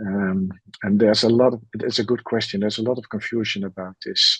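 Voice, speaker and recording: The sound is dry and close, with no echo. It's a man talking. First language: not English. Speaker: methods expert, panelist. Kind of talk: webinar Q&A. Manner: halting, frequent fillers.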